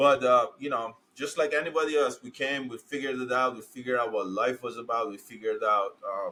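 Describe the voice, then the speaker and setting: A man with a Persian accent at a fairly quick pace, hardly any pauses and big swings in loudness. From Iran, then Turkey as refugee. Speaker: dentist. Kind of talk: interview.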